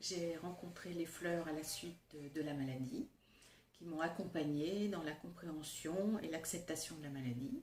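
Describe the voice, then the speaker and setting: A woman with a fairly low pitch and a somewhat breathy voice talks at a very slow pace with ordinary pitch variation. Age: 60s. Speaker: Bach flower therapist, cancer survivor. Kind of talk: testimony.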